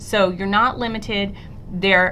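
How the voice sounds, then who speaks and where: A woman speaks with fairly even intonation. There is audible room echo. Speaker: middle school teacher. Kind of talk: recorded presentation screencast. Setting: screencast recording.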